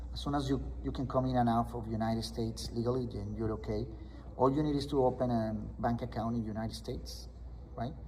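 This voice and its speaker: In a room with audible echo, a man with a Spanish accent talks at a fairly quick pace. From Colombia. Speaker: loan officer. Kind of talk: interview explaining mortgage options. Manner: hesitant with fillers and restarts.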